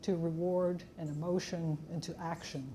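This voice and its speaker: Audible room echo surrounds the voice of a woman as she talks. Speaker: neuroscientist giving an invited lecture. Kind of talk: lecture.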